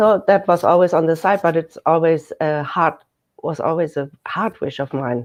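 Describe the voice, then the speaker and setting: With a German accent, a woman talks in a fairly low voice. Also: ordinary pitch variation, moderate pace. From Germany, countryside. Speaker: shiatsu therapist. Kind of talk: radio interview.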